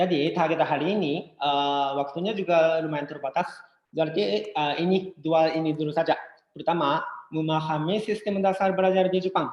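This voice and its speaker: A moderate pace with a Japanese accent. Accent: Japanese accent in Indonesian. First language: Japanese (speaking Indonesian). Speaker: education company presenter. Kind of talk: webinar presentation. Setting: online webinar. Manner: halting, many fillers.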